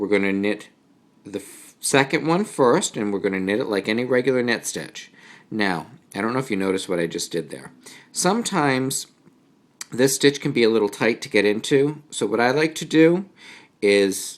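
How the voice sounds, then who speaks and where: A man with a New England accent, medium pitch, lively intonation and a moderate pace. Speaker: knitting teacher. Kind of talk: tutorial. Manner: casual.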